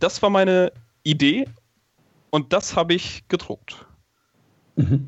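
This voice speaks at a very slow pace with ordinary pitch variation, very even loudness, and long, frequent pauses. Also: man, high pitch for a man. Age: 20s. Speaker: stage magician and engineering student. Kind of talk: interview.

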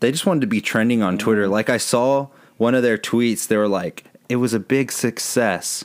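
An ordinary speaking voice with ordinary pitch variation, in an American accent. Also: man, medium pitch for a man, fairly quick pace, very even loudness. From Texas, San Antonio. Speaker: podcast co-host. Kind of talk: casual chat.

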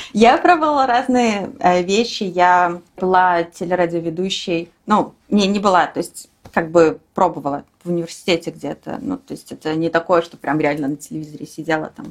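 A woman speaks in a normal speaking voice at a fairly low pitch and a moderate pace. Her intonation is lively, with big swings in loudness. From Belarus (Minsk). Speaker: software developer. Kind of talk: casual interview.

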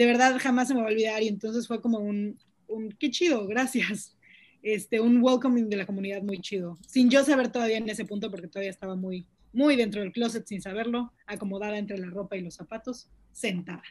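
Somewhat breathy, a woman speaks at a fairly quick pace with a fairly high pitch, ordinary pitch variation, and big swings in loudness. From Mexico City. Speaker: podcast guest, social media activist. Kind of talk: casual chat.

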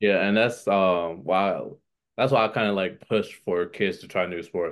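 This man has a very deep, low pitch and an American accent. He talks at a fairly slow pace with fairly even intonation over a quiet background. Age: 20s. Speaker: middle school athletic director. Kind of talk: casual interview.

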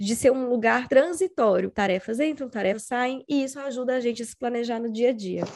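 Against noticeable background noise, a high-pitched woman talks at a fairly quick pace with hardly any pauses, ordinary pitch variation and big swings in loudness. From Brazil, Espírito Santo. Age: 30s. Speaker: personal organization content creator. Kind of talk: casual interview chat.

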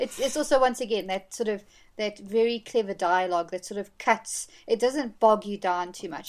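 A woman talks at a fairly quick pace in a plain, everyday voice, with ordinary pitch variation. The recording is very clean, with a silent background. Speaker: film fan guest. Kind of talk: casual chat.

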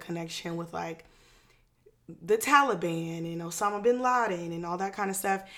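A woman has an unremarkable speaking voice, with an American accent. She speaks at a moderate pace with ordinary pitch variation. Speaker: podcast co-host. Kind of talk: casual chat.

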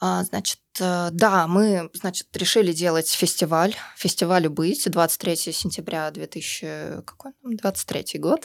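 Speaking at a very slow pace yet with hardly any pauses, a woman with a fairly low pitch and ordinary pitch variation is captured in a very clean recording with a silent background and a dry, close sound with no echo. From Russia. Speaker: libertarian activist. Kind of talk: interview. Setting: studio.

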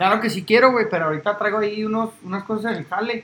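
A man talks at a very fast pace in a raised, projected voice. His pitch is high and his intonation fairly even. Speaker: sports podcast host. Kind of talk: casual chat.

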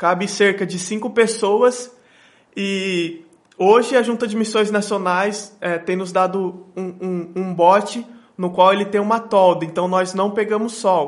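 This is a man with a high-pitched voice. His intonation stays fairly even. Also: fairly slow pace. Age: 20s. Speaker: missionary. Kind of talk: interview.

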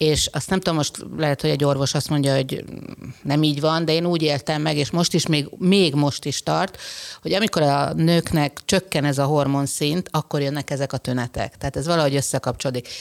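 Speaking at a fairly quick pace, a woman with a very deep, low pitch keeps her loudness very even. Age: 50s. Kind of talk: casual chat.

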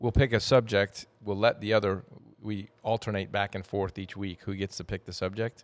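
A man with an American accent speaks at a moderate pace in a fairly low pitch, with an unremarkable speaking voice. The recording is very clean with a silent background and a dry, close sound with no echo. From Wyoming, US West. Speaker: podcast co-host. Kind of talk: casual chat.

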